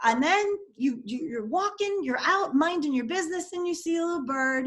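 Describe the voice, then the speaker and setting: A woman with a New York accent speaks in an extremely high voice at a moderate pace, her tone animated and her pitch swinging very widely. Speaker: dating and relationship coach. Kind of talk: interview.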